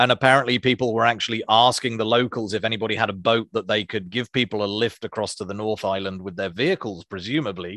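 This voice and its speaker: A man of medium pitch rattles along at a very fast pace with hardly any pauses, his tone bright and sharp and his pitch varying in an ordinary way, on a very clean, dry, close recording with a silent background and no echo. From Isles of Scilly, Cornwall, England. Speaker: podcast co-host, software developer. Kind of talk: casual chat.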